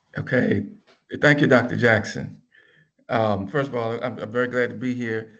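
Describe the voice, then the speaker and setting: A man with a medium pitch speaks in a fairly even intonation, with audible room echo around him. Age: 60s. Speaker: business professor. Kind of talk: panel talk.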